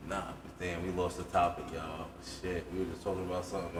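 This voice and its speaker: Talking at a very fast pace in a New York accent, a man with a very deep, low voice is heard over noticeable background noise and audible room echo. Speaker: podcast co-host. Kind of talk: casual chat. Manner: animated.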